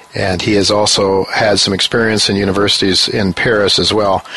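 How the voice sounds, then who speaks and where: With an American accent, a man talks while noticeable noise carries on behind him. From US. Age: 60s. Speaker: radio host and newsletter writer. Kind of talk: interview on financial radio show. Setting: studio in New York. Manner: halting, many fillers.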